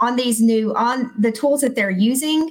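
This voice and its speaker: A woman speaks with a somewhat breathy voice. Her pitch varies in an ordinary way. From Texas. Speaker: school principal. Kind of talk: casual chat.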